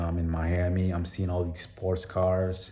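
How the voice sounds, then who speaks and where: His voice is very deep and low. This man sounds somewhat breathy. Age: 30s. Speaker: vlogger. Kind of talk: personal vlog monologue. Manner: casual, filler-heavy.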